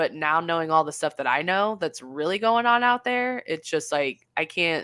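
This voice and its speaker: A woman's plain, everyday voice with lively intonation at a moderate pace, in a very clean recording over a silent background. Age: 30s. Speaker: amateur paranormal investigator and photographer. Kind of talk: casual chat.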